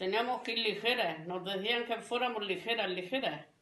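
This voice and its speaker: A woman speaks at medium pitch with a bright, sharp tone. Audible room echo is present. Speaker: grandparent interviewee. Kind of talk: interview.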